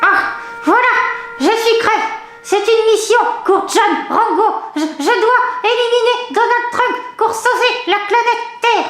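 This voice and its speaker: Over clear music in the background with a slight echo, a woman puts on a character voice at an extremely high pitch, speaking at a fairly slow pace with long, frequent pauses. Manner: stammering, excitable.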